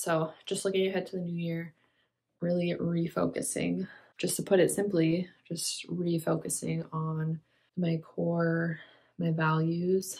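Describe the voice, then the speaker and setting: A somewhat breathy woman's voice with monotone, flat intonation. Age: 20s. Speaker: lifestyle vlogger. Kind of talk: casual talk to camera. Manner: reflective.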